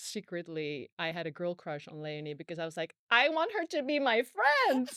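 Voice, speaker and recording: A bright, sharp voice with a Dutch accent at a moderate pace, with ordinary pitch variation, a dry, close sound with no echo, and a very clean recording with a silent background. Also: woman. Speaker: podcast host, former TV presenter. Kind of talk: casual chat.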